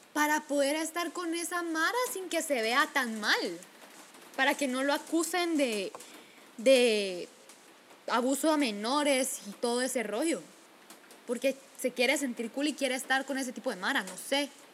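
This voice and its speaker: Over noticeable background noise, a woman with a high pitch speaks at a fairly slow pace, leaving long, frequent pauses. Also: lively intonation. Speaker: podcast co-host. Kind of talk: casual chat.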